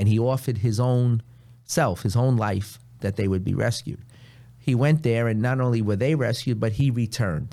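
Someone with a New York accent speaks in a dark, mellow tone with ordinary pitch variation. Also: man, medium pitch for a man, moderate pace, very clean recording, silent background. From New York City (Queens). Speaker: priest. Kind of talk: casual chat.

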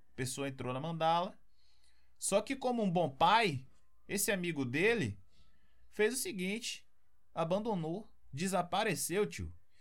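A man with a Brazilian accent speaks at a fairly slow pace with long, frequent pauses. His voice is high, with lively intonation. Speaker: podcast host. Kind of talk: casual chat.

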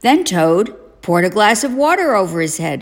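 Lively intonation and a moderate pace in a woman's plain, everyday voice. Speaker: parent reading a bedtime story to children. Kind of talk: audiobook-style reading aloud of a children's story.

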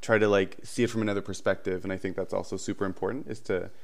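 A man with a nervous tone, fairly low-pitched, talking at a very fast pace. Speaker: early childhood educator. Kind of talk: casual podcast interview.

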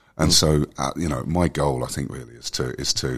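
A very deep, low male voice with vocal fry and fairly even intonation. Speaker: wellbeing company director. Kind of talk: casual interview chat. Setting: conference event.

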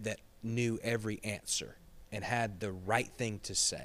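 In a very clean recording with a silent background, a man speaks at a medium pitch. His pace is very slow. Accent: Southern US. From Georgia, US South (Gainesville). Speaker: associate pastor. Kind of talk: casual chat.

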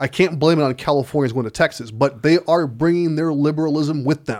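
A man with an American accent and a plain, everyday voice speaks at a fairly quick pace with a fairly high pitch and ordinary pitch variation, on a very clean recording with a silent background. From Chicago. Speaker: podcast co-host. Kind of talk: casual chat. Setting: studio.

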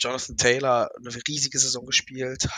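Monotone, flat intonation in a dry, close sound with no echo, against noticeable background noise. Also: man. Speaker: college football expert. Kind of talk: casual chat. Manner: halting, many fillers.

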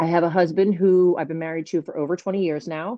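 This woman has a fairly low pitch and ordinary pitch variation, speaking at a moderate pace with an American accent. It is a normal speaking voice. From New Jersey. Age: 40s. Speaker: pharmacist and network marketing entrepreneur. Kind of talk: casual interview.

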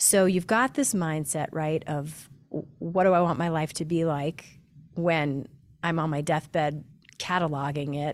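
A woman's fairly low voice, a normal speaking voice at a fairly slow pace, with ordinary pitch variation in a very clean recording with a silent background. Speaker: podcast host. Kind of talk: casual interview conversation.

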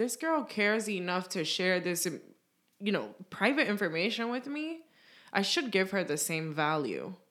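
Speaking with a New York accent, a woman swings very widely in pitch on a very clean recording with a silent background. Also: medium pitch for a woman, moderate pace. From New York City (Bronx). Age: 20s. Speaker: podcast co-host. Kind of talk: casual chat.

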